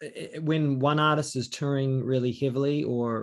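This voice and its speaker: With a New Zealand accent, a man talks at a moderate pace and medium pitch over a quiet background. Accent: New Zealand accent, noticed by Americans. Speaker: singer-songwriter and session guitarist. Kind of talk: interview. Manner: hesitant, many fillers.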